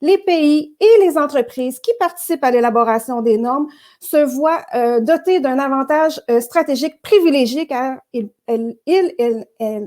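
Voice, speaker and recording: A woman speaks at a fairly slow pace in a Quebec accent, her pitch high and her tone dark and mellow. Her intonation is lively. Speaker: network director and host. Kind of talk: virtual interview show introduction. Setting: virtual broadcast. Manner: hesitant, many filler words.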